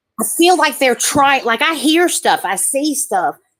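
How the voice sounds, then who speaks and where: A woman with an Alabama accent, lively intonation and a fairly slow pace. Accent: Southern US (Alabama). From US South, southern Alabama. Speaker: caller. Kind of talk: live call-in reading.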